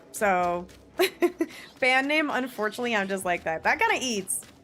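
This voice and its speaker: Over noticeable background noise, a woman with an American accent talks at a fairly quick pace in an animated tone and a fairly high pitch. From New Jersey, US. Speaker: streamer. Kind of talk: casual chat. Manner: loud.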